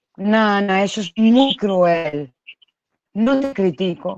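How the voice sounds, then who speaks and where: A woman talks at a fairly slow pace. The sound is dry with no echo, over a quiet background. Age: 30s. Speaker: YouTube live-stream host. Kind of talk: casual live-stream gossip chat. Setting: at home. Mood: emotional, reproachful. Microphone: video call.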